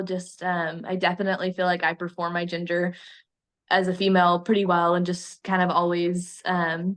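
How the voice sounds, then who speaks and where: The background stays quiet. A woman's voice sits at a medium pitch. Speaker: student interviewee, livestock showman. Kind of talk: interview. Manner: hesitant, many ums; quiet, reserved.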